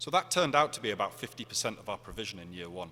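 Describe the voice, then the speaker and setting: A man talks at a very fast pace in a bright, sharp tone. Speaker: conference speaker. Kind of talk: conference presentation.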